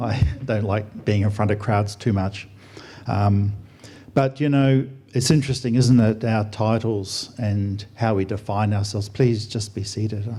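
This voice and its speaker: In an Australian accent, a man speaks fairly slowly at a fairly low pitch, his tone dark, mellow and somewhat breathy. His intonation is fairly even, and the room echo is audible. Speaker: doctor and air force officer, guest speaker. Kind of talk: sermon. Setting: church stage with audience. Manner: soft-spoken; mumbling.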